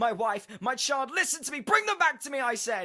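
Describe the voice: A put-on character voice shouts in a bright, sharp tone with big pitch swings. The pace is moderate. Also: man, extremely high pitch for a man.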